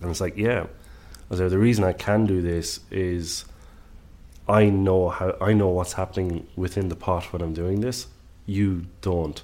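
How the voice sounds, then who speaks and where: The speaker has an Irish accent and a dark, mellow tone. The pace is fairly slow, with long, frequent pauses and fairly even intonation. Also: man, very deep, low pitch for a man. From Ireland. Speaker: executive chef. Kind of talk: casual interview conversation.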